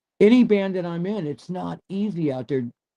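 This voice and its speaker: Dry and close with no echo, a man with an American accent speaks in a dark, mellow tone at a moderate pace with ordinary pitch variation. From Michigan. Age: 70s. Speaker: rock musician. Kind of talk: casual chat.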